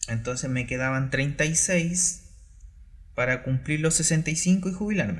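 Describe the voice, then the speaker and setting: The voice belongs to a man. It comes across as somewhat breathy. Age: 30s. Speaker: entrepreneur and former math teacher. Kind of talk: solo podcast monologue. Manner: halting, with fillers.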